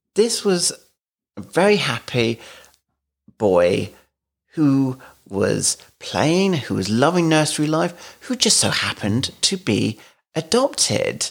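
On a very clean recording with a silent background, a man with a southern English accent speaks at a very slow pace with long, frequent pauses, his fairly high pitch swinging very widely. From London, England. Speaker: podcast host, adoptive father. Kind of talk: casual chat.

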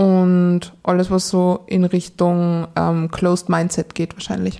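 In a Salzburg accent, a woman speaks with a dark, mellow tone and monotone, flat intonation. The recording is very clean, with a silent background. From Austria, Salzburg. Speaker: dating podcast guest, single. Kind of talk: casual interview chat. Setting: studio, in person.

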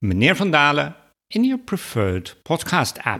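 Very wide pitch swings mark this fairly slow delivery in a Dutch accent. The recording is very clean, with a silent background. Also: man. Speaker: podcast host and publisher. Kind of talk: interview chat. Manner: friendly, laughs often.

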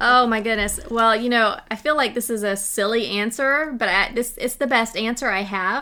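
A woman with a fairly high pitch talks at a moderate pace with hardly any pauses, over noticeable background noise. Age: 40s. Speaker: author. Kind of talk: casual chat.

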